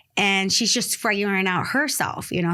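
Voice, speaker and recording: Over a very clean recording with a silent background, a woman speaks at a fairly quick pace with a bright, sharp tone and a Spanish accent. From Dominican Republic, then New York City from age 8. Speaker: real estate investor. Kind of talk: podcast interview.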